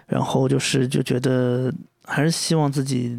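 A man speaks at a very slow pace. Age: 30s. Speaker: podcast host. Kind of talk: solo monologue. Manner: hesitant, many fillers; rambling, unstructured.

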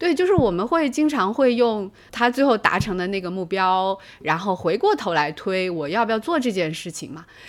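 A woman speaks at a moderate pace with lively intonation and a medium pitch, on a very clean recording with a silent background. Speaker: psychology professor. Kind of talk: casual chat.

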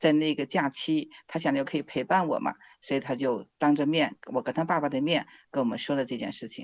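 Over a quiet background, a woman talks at a fairly quick pace with a very deep, low pitch and a dry, close sound with no echo. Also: ordinary pitch variation. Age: 50s. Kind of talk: interview testimony.

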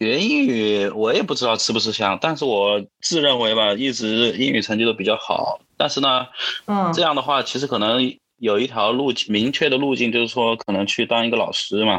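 At a moderate pace, a man speaks at medium pitch with ordinary pitch variation and very even loudness. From Wuhan, Hubei, China. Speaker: interview guest sharing life story as a father. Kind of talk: casual interview conversation. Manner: halting, with frequent repetitions and fillers.

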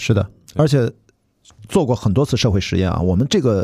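On a very clean recording with a silent background, a man with a fairly low, somewhat breathy voice talks at a fairly quick pace with lively intonation. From Shandong, China. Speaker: podcast host. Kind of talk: casual chat.

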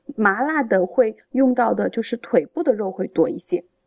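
A woman with a plain, everyday voice talks at a fairly high pitch with lively intonation. The sound is dry and close, with no echo. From Changde, Hunan, China. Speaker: food enthusiast. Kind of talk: casual chat.

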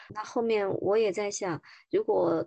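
A woman talks at a medium pitch with ordinary pitch variation. She has a plain, everyday voice. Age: 40s. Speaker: woman sharing menopause experience, former agency worker. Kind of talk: interview testimony.

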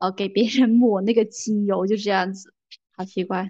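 A woman speaks at a fairly quick pace in a normal speaking voice. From Guangdong, southern China. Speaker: podcast host. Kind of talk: casual chat. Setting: remote call.

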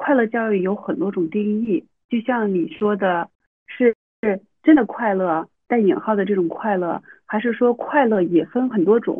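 With an ordinary speaking voice, a woman talks at a moderate pace, her pitch fairly high and her intonation lively. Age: 30s. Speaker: university teacher and mother. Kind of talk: casual interview.

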